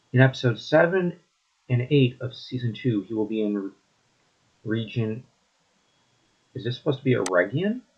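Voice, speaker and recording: A man with a medium-pitched, somewhat breathy voice uses lively intonation. He leaves long, frequent pauses. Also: moderate pace. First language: not English. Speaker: YouTube commentator on fantasy media. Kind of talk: solo commentary reviewing an article. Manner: sarcastic, conversational.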